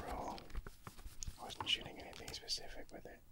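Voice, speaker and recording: Whispering, a man speaks at a fairly quick pace. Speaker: ASMR creator, film photographer. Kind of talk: ASMR video. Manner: mostly whispered. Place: home room. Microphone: studio mic.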